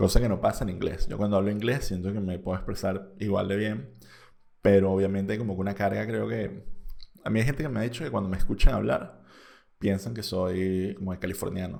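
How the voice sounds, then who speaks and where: A man with a Venezuelan accent, a fairly low pitch, ordinary pitch variation and a dark, mellow tone, speaking at a fairly quick pace. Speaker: podcast host. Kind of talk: casual monologue.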